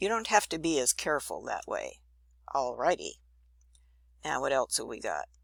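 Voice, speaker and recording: The speaker is a woman. Her voice comes through dry and close, with no echo. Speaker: drafting instructor. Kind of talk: tutorial. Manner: casual, upbeat.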